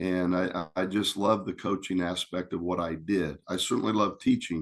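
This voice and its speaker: Against a quiet background, a man talks with an American accent. His pitch is very deep and low. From Indiana, US Midwest. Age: 60s. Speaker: retired basketball coach and teacher. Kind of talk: interview conversation.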